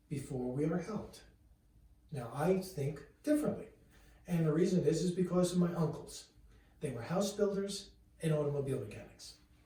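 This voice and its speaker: At a moderate pace, a man with a fairly high voice speaks with long, frequent pauses amid audible room echo. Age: 60s. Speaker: chiropractor. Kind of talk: direct-to-camera talk. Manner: conversational.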